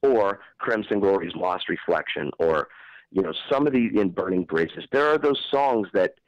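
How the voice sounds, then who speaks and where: A man with lively intonation. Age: 30s. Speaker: rock singer. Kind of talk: interview. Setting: internet radio show. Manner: halting.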